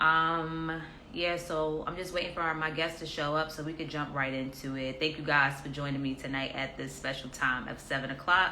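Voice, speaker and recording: Amid audible room echo, a woman with an American accent talks at a moderate pace with hardly any pauses, her pitch very deep and low. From New York, Harlem. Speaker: talk show host. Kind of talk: casual interview. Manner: animated.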